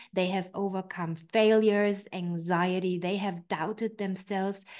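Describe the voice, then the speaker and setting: Against a quiet background, a woman with a German accent talks at a medium pitch and a fairly slow pace. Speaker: personal development coach. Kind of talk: online training talk.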